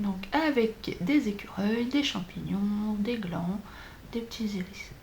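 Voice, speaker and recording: A woman speaks at a very slow pace and a medium pitch. Room echo is audible. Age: 40s. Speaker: flosstube vlogger, childminder. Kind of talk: casual craft vlog. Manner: hesitant, many fillers.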